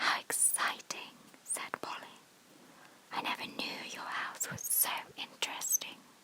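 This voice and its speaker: With long, frequent pauses, a whisper unfolds fairly slowly against noticeable background noise. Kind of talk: whispered audiobook-style reading for sleep (bedtime story). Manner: whispered, soft.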